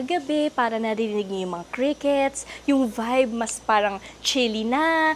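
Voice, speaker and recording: Noticeable background noise sits behind the voice. The speech moves at a moderate pace with lively intonation. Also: woman. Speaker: travel vlogger. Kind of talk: travel vlog. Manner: casual and chatty.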